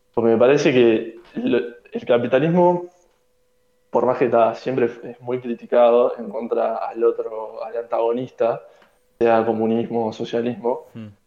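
Using a normal speaking voice, a man talks at a fairly slow pace with a medium pitch, fairly even intonation, and big swings in loudness. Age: 20s. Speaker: economics student. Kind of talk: casual chat.

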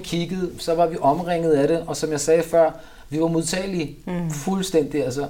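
A man's high-pitched voice at a moderate pace, in a monotone, flat intonation, over noticeable background noise. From Copenhagen, Denmark. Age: 40s. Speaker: rapper. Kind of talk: interview. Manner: casual, filler-heavy.

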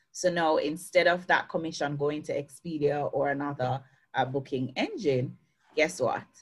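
A woman with a Jamaican accent, a very deep, low pitch, a somewhat breathy quality and a moderate pace. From Jamaica, Clarendon parish. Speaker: success coach. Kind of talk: interview. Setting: video call. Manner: lively.

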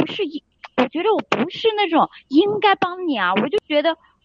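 Her pitch rises and falls very widely. The woman keeps a fairly quick pace. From Sichuan, China. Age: 20s. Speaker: caller seeking relationship advice. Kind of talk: call-in advice chat. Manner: hesitant, many filler sounds.

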